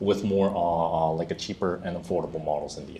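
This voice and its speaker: In a Korean accent, a man speaks with a dark, mellow tone amid audible room echo. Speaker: solutions architect, conference speaker. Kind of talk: conference Q&A. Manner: halting, many fillers.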